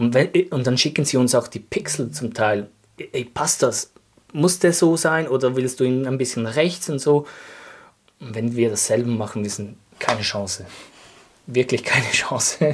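A somewhat breathy male voice at a moderate pace, broken by long, frequent pauses. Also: medium pitch for a man, ordinary pitch variation. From Switzerland, canton of Glarus. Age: 30s. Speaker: sock business co-founder. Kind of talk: casual interview chat. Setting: studio, in person.

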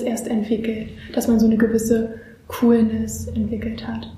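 A woman at a moderate pace, fairly high in pitch, with noticeable background noise and audible room echo. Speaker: student interviewer. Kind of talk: interview.

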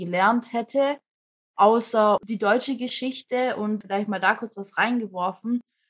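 With an ordinary speaking voice, a woman talks at a moderate pace, her fairly high pitch carrying fairly even intonation. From Germany. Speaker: anti-racism activist, young mother. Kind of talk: interview conversation.

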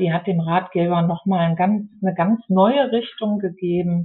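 In an ordinary speaking voice, someone talks at a fairly slow pace with ordinary pitch variation. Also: woman. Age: 50s. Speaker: geriatric nurse and care home manager turned author. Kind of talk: casual interview.

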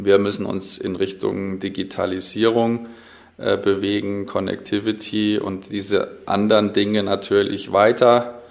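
A man with a fairly low voice speaks at a very slow pace in a monotone, flat intonation. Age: 40s. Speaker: logistics executive. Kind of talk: interview. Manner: hesitant.

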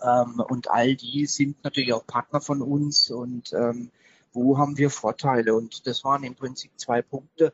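Speaking at a fairly slow pace, a man with a medium-pitched voice keeps a monotone, flat intonation. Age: 30s. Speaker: IT company managing director. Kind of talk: interview. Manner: hesitant, many filler sounds.

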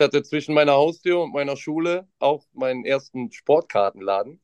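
A man with a plain, everyday voice speaks at a fairly quick pace and a fairly high pitch, with ordinary pitch variation, in a dry, close recording that has no echo. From Mönchengladbach, western Germany. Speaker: trading card shop employee. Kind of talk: casual chat.

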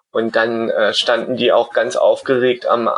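The recording is dry and close, with no echo. A man speaks fairly slowly. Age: 30s. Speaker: blind traveler. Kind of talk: casual interview.

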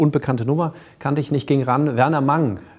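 In a normal speaking voice, a man talks fairly quickly at a fairly high pitch. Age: 40s. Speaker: cosmetic surgeon. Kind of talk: interview. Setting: studio.

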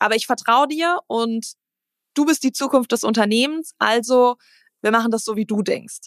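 In a very clean recording with a silent background and dry, close sound with no echo, a woman with an ordinary speaking voice talks at a fairly high pitch and moderate pace with ordinary pitch variation. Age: 30s. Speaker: CEO of a family machine-building company. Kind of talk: casual interview.

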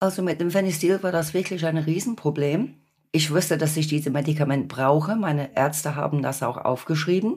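A woman's very deep, low voice with ordinary pitch variation at a fairly quick pace. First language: English (speaking German). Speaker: patient and support group volunteer. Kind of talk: podcast interview.

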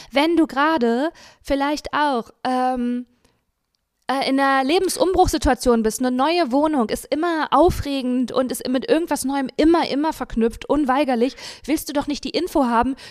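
At a moderate pace, a woman talks in a high voice. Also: ordinary pitch variation. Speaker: podcast host. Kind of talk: casual chat.

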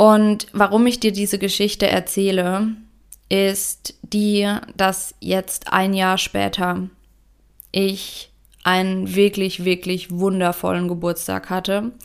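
Very slow and monotone, the delivery has flat intonation. It comes from a woman at medium pitch. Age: 30s. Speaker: business coach, podcast host. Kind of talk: solo podcast monologue. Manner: reflective, heartfelt.

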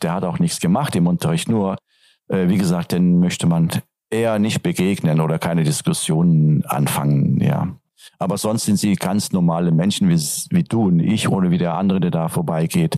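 Lively in intonation, a man speaks at a moderate pace with very even loudness. His pitch is very deep and low. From Turkey, Antalya region. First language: Turkish (speaking German). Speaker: teacher. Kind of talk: interview. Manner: hesitant, many fillers.

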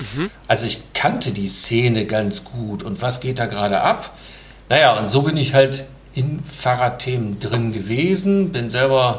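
A man with a medium-pitched voice and lively intonation speaks fairly slowly, amid noticeable background noise and audible room echo. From Lower Rhine, Mönchengladbach. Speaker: entrepreneur. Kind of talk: casual interview.

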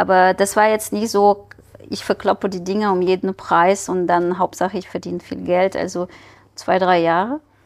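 Here is a woman at medium pitch. She keeps a moderate pace and fairly even intonation. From Ukraine. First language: Ukrainian or Russian (speaking German). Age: 40s. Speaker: scientist and entrepreneur. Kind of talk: casual interview. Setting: studio.

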